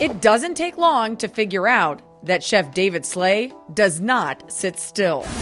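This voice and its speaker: A woman speaks at a very slow pace with very wide pitch swings, and music plays in the background. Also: medium pitch for a woman. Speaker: TV news reporter. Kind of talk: TV news voiceover narration.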